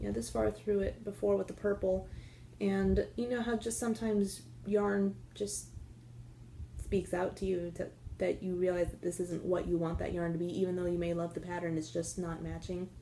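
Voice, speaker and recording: A soft-spoken woman talks at a moderate pace. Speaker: knitting podcaster. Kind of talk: casual chat. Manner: hesitant, many fillers.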